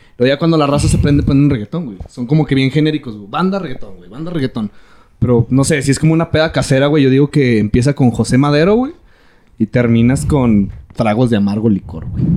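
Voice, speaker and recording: A man with a Mexican accent talks at a very fast pace in a dark, mellow tone of medium pitch, his intonation lively. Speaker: podcast host. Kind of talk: casual chat. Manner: animated.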